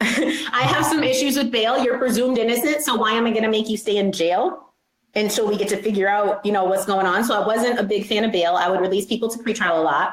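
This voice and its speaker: At a very fast pace with hardly any pauses, the speech shows ordinary pitch variation and very even loudness, with audible room echo. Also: woman, fairly high pitch for a woman. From western New York (Rochester). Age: 30s. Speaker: judge. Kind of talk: interview.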